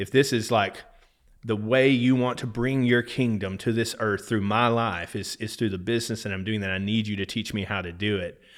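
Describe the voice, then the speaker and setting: A man with an American accent speaks at a moderate pace in a plain, everyday voice, his fairly low pitch and fairly even intonation captured in a very clean recording against a silent background. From Texas. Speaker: business owner in oil and gas. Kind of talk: casual interview conversation.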